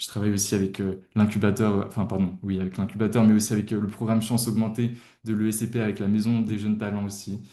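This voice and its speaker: A man's fairly low voice, dark and mellow in tone, very fast and monotone, with flat intonation. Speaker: tutoring company founder. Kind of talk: webinar presentation. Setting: livestream. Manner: hesitant, many fillers.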